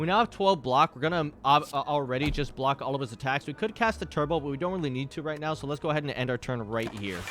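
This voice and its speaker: A man's fairly high voice at a very fast pace, with lively intonation, hardly any pauses and noticeable background noise. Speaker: gaming streamer. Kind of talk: gameplay commentary. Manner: animated.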